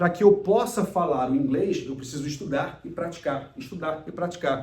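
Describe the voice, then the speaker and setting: Audible room echo surrounds this man's voice. He speaks at a moderate pace with a high pitch. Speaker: emotional intelligence speaker and mentor. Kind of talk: recorded lecture.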